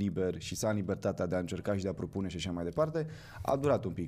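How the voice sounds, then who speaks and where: A man's fairly low voice with lively intonation. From Moldova, Chișinău; Moldova. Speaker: actor. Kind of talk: casual interview chat. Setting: studio. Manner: halting, many fillers. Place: studio. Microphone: studio mic.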